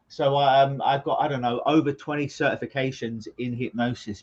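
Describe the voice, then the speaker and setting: A man with a London accent talks at a fairly quick pace in a somewhat breathy voice. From London, England. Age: 40s. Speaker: clinical hypnotist. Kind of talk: interview conversation.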